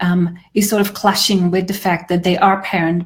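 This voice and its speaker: A woman's somewhat breathy voice at medium pitch, flat and monotone in intonation, at a fairly quick pace. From Switzerland. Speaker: grief therapist. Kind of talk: conversational video discussion.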